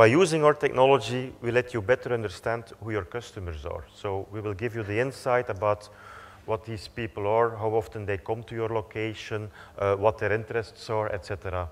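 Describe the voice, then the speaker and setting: A man speaks at a fairly quick pace in a medium pitch. His pitch varies in an ordinary way. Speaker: company executive. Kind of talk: conference presentation. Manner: fast.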